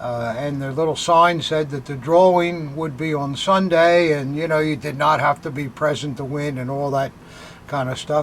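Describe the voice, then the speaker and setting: A man at a moderate pace, fairly high in pitch with fairly even intonation, against noticeable background noise. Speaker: antiques dealer. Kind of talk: casual chat. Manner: halting.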